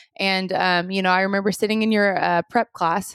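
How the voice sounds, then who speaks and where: A woman with an American accent talks fairly quickly at a medium pitch with fairly even intonation, the sound dry and close with no echo in a very clean recording with a silent background. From Oklahoma, US. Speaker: motivational speaker. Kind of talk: interview.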